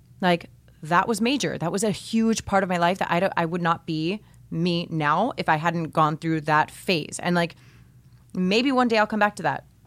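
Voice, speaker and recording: Very clean recording with a silent background: a woman with a plain, everyday voice, fairly low in pitch, at a moderate pace with ordinary pitch variation. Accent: American. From Miami, Florida. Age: 30s. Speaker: podcast host, former teacher. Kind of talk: interview. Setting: studio.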